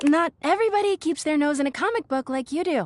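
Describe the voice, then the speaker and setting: A woman does a put-on character voice, high and squeaky, at a very fast pace with lively intonation. The sound is dry and close with no echo. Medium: audio drama. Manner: sarcastic, peevish.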